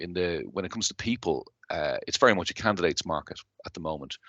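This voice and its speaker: Very deep, low male voice with a Dublin accent, bright and sharp in tone, fairly quick, with ordinary pitch variation and a dry, close sound lacking echo. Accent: Irish (Dublin). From Ireland, Dublin. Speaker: company chief executive. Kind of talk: interview.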